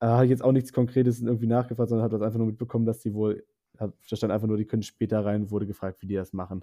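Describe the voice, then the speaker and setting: Very fast male speech at medium pitch in a monotone, flat intonation. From northern Germany, Bremerhaven. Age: 20s. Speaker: zookeeper, exchange program participant. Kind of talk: interview.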